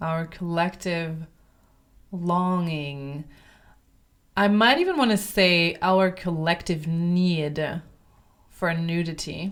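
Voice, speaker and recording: On a very clean recording with a silent background, a woman with a fairly low voice talks at a very slow pace, her intonation fairly even and her pauses long and frequent. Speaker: podcast host and voice coach. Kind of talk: solo podcast monologue.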